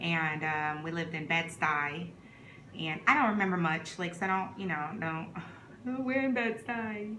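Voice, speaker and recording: With an American accent, a woman speaks at a moderate pace and a fairly low pitch, using lively intonation. Audible room echo and noticeable background noise surround her voice. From New York (Brooklyn), Trinidad-born. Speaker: vlogger. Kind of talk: casual chat. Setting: eating on camera at home. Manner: relaxed, conversational.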